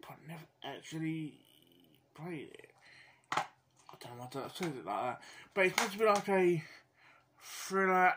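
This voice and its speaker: Bright and sharp in tone, the voice speaks with a British accent. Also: man. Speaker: gaming YouTuber. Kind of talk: casual video commentary. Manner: halting, many fillers; mumbling.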